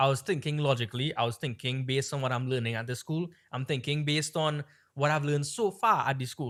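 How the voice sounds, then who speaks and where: Animated in tone, a man with an American accent talks at a very fast pace and fairly high pitch, with ordinary pitch variation. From Trinidad. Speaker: podcast co-host. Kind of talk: casual chat.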